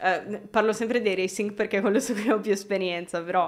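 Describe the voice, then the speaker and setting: A woman talks in an ordinary speaking voice, medium in pitch and fairly even in intonation, on a very clean recording with a silent background. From Milan area, Italy. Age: 20s. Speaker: video game lighting artist. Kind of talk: casual interview chat. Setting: live video stream.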